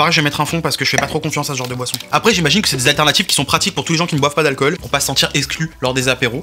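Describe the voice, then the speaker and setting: Music plays in the background as a man speaks very fast, hardly pausing. His pitch sits fairly high. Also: ordinary pitch variation. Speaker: YouTuber food tester. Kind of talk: casual food review vlog. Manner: animated.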